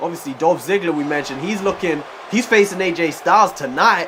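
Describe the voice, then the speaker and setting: A man with a high pitch and ordinary pitch variation speaks at a moderate pace amid noticeable background noise. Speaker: gaming YouTuber. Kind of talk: game commentary. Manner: casual, hesitant.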